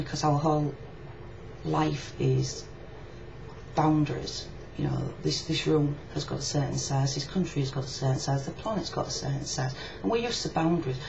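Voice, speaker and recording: Speaking at a fairly quick pace in a strong Yorkshire accent, a woman is heard through noticeable background noise and audible room echo. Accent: heavy Yorkshire. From Yorkshire, northern England. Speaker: video blogger. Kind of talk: casual video reply monologue.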